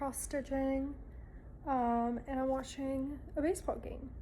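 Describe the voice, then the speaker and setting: In a room with audible echo, a woman speaks at a high pitch with monotone, flat intonation. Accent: American. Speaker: lifestyle vlogger. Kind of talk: casual vlog talk. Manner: chatty, filler-heavy.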